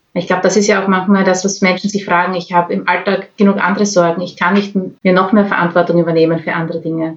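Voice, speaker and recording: Flat and monotone, a woman speaks at a very fast pace. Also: medium pitch for a woman. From Austria, Graz. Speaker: podcast host, climate activist. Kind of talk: interview.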